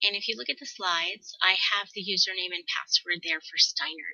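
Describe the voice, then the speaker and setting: A woman talks at a fairly quick pace and a medium pitch. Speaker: school librarian. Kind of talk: screencast tutorial. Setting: screencast recording. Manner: fast.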